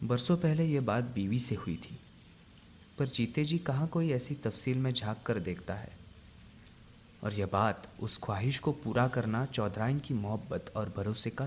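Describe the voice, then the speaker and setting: Ordinary pitch variation runs through a man's medium-pitched voice. It sounds somewhat breathy. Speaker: narrator. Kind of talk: radio drama narration.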